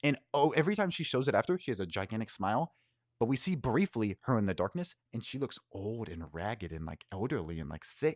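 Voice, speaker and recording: With an American accent, this voice moves at a fairly quick pace through very wide pitch swings, in a dry, close sound with no echo and a very clean recording with a silent background. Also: man, medium pitch for a man. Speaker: YouTuber. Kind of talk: casual video outro. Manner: casual, with fillers and restarts.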